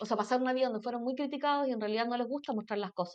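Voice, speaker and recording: A woman speaks with a Chilean accent. Her pitch is high. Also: quiet background. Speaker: mentor. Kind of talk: casual chat. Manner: fast; animated.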